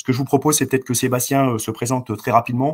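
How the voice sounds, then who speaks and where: Very fast male speech with fairly even intonation and a dry, close sound with no echo. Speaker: company president. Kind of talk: investor presentation. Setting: video call. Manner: hesitant with many fillers.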